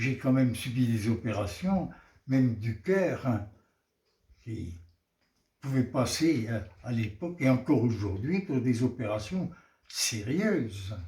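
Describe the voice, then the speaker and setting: Speaking at a very slow pace, a man with a somewhat breathy, medium-pitched voice uses lively intonation. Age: 80s+. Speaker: interviewee, centenarian. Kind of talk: interview answer.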